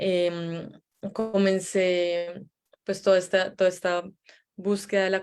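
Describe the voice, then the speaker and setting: This speaker is a woman with a Colombian accent. Her voice sits fairly low in pitch. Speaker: psychologist. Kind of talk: online interview. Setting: video call.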